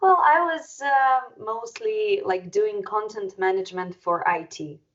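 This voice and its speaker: A non-native accent with very wide pitch swings at a fairly slow pace. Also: woman, fairly high pitch for a woman. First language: not English. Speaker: metal band musician and interviewer. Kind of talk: casual interview conversation.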